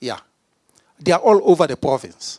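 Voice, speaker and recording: Recorded dry and close with no echo, a man speaks in an animated tone at a fairly slow pace, fairly high in pitch and with vocal fry. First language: not English. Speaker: provincial politician. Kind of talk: speech.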